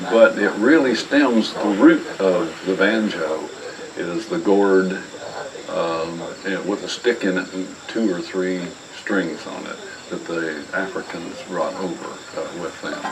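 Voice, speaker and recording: A man with an American accent and a fairly low pitch, very slow and relaxed in tone, with ordinary pitch variation, big swings in loudness, audible room echo and noticeable background noise. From Ohio, US Midwest. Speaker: old-time mountain musician. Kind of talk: talk between songs at a live performance. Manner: relaxed, hesitant with many fillers.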